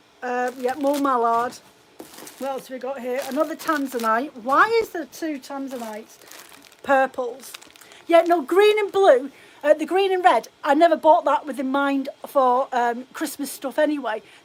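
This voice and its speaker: Over noticeable background noise, a high-pitched woman speaks in an animated tone at a moderate pace with ordinary pitch variation. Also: big swings in loudness. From Scotland, Edinburgh; forces family, moved around. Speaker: fibre craft shop owner. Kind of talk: casual live stream chat. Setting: live video stream at home. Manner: chatty, animated.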